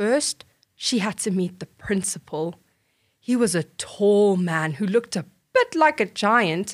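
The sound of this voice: The background stays quiet behind an unforced reading voice.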